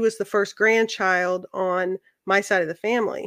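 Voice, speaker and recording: A woman with an American accent speaks in an ordinary speaking voice at a fairly slow pace and medium pitch, her intonation fairly even. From central Missouri, US Midwest. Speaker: accountant and hobby woodworker. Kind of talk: casual chat. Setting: video call.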